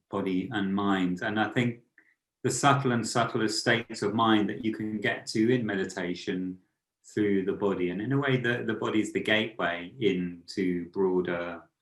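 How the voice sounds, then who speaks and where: This man has an ordinary speaking voice, fairly low in pitch, moving at a moderate pace with fairly even intonation. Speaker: author and meditation teacher. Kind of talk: podcast interview.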